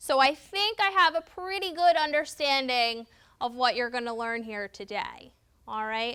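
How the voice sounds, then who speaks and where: A woman's raised, projected voice in a New Jersey accent, high-pitched, bright and sharp, with very wide pitch swings. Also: moderate pace. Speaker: volunteer trainer. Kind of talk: training class. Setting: classroom with sign interpreters and cameras.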